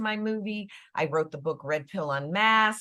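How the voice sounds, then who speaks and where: In a very clean recording with a silent background, a woman with a plain, everyday voice speaks at medium pitch with lively intonation and an American accent. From US Midwest, Chicago. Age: 60s. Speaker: actress and author. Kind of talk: panel interview. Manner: casual, conversational.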